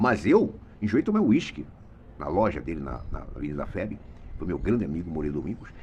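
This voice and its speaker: A man talking at a very fast pace. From Brazil, Mato Grosso. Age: 70s. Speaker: retired radio and TV journalist. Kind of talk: opinion monologue. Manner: animated.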